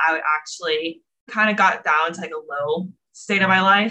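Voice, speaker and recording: This woman's voice is fairly low in pitch, with a bright, sharp tone. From Florida. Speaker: bodybuilding competitor and fitness coach. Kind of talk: casual interview.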